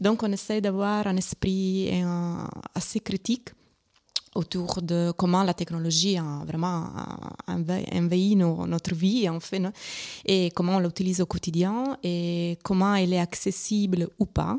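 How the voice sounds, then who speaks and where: A woman at a medium pitch with an Italian accent, speaking very slowly with long, frequent pauses and fairly even intonation, in a dry, close sound with no echo. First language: Italian (speaking French). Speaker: arts organisation member. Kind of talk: interview. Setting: live radio broadcast at exhibition venue. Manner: halting.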